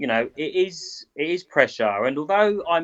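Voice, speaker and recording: Bright and sharp in tone, this voice moves at a moderate pace with a British accent. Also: man. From Britain. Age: 30s. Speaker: boxing cutman. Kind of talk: interview.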